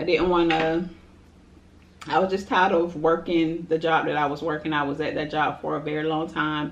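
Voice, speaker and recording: A woman's very deep, low voice at a moderate pace, fairly even in intonation, with light background noise. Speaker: food vlogger. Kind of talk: casual vlog chat, Q&A while eating. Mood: relaxed, chatty, laughing. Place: home room. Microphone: camera far.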